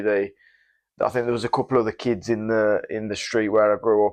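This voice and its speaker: Against a quiet background, a man speaks at a medium pitch. His intonation is monotone and flat. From West Midlands, England (Wolverhampton). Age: 30s. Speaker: professional MMA fighter. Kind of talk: interview. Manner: halting, many fillers and repeats.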